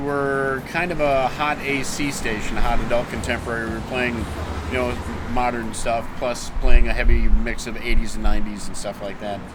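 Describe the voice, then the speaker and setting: A man talks at a fairly quick pace with a medium pitch and lively intonation. Noticeable background noise and audible room echo fill the recording. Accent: Wisconsin. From Wisconsin (Warrens area). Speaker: radio broadcaster. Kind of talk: interview, casual storytelling.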